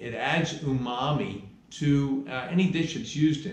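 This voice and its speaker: A man speaks at a fairly slow pace. Room echo is audible. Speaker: cooking instructor. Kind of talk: lecture. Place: kitchen.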